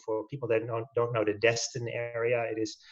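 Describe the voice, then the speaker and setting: Somewhat breathy and at a medium pitch, a man with a Dutch accent speaks at a fairly quick pace in monotone, flat intonation. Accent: Dutch, noticeable. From Netherlands. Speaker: orthopedic spine surgeon. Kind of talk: webinar presentation. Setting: video webinar.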